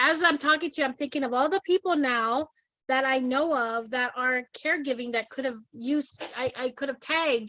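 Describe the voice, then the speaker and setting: Her voice is raised and projected, with a bright, sharp tone and high pitch, as this woman speaks at a moderate pace with ordinary pitch variation. The sound is dry and close with no echo. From Hawaii. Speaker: talk show host. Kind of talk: casual interview chat.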